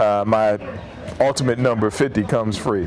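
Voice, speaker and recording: With music in the background, a man in an American accent speaks at a medium pitch with fairly even intonation. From Virginia (Hampton). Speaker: former NFL linebacker. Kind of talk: casual interview storytelling. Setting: bar or shop.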